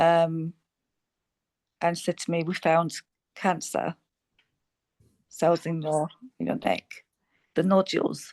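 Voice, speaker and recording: At a very slow pace, a woman speaks in a fairly low pitch with a monotone, flat intonation and long, frequent pauses, the sound dry and close with no echo. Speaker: cancer survivor and coach. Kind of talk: testimony.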